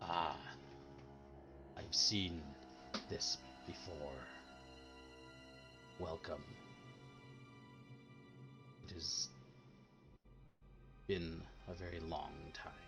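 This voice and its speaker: A man growls in a put-on character voice at a very slow pace, with long, frequent pauses and clear music in the background. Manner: ominous, ancient.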